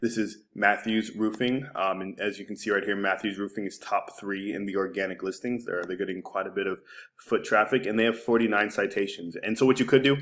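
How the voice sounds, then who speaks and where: On a very clean recording with a silent background, a man with a fairly low pitch speaks at a fairly quick pace with fairly even intonation and hardly any pauses. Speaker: digital marketing agency owner. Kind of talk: screencast website review tutorial. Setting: screen recording. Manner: casual, many filler words; fast.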